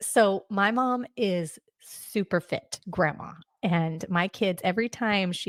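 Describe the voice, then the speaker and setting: A woman speaks in a plain, everyday voice at a medium pitch with ordinary pitch variation. The recording is very clean, the background silent. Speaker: podcast host. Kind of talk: podcast interview.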